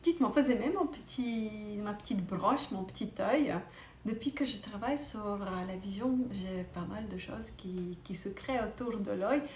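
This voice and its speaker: In a non-native accent, a woman speaks fairly slowly with hardly any pauses, her fairly high voice showing lively intonation, amid audible room echo and noticeable background noise. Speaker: optician, vision educator. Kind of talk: educational talk to camera. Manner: hesitant, with fillers.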